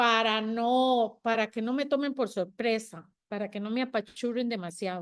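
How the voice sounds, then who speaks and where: A woman speaks at a fairly slow pace in an ordinary speaking voice, her pitch fairly high with ordinary variation. The recording is very clean, with a silent background. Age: 60s. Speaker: panel guest. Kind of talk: panel discussion.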